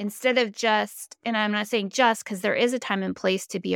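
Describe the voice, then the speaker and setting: The sound is dry and close with no echo as a woman comes through on a very clean recording against a silent background. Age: 40s. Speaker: podcast host. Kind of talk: casual interview chat.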